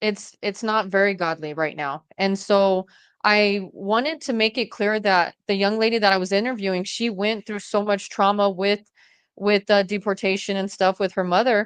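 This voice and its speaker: A woman with an American accent and an ordinary speaking voice, medium in pitch, at a moderate pace with fairly even intonation, in a dry, close recording with no echo and a quiet background. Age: 40s. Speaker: domestic violence survivor and podcaster. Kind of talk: interview conversation.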